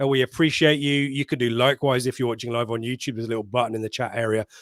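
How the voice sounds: A man talks at a very fast pace and a medium pitch, with little pitch movement, in a dry, close sound with no echo.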